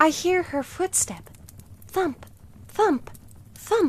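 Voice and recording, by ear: A put-on character voice at a very slow pace, with lively intonation. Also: woman, extremely high pitch for a woman.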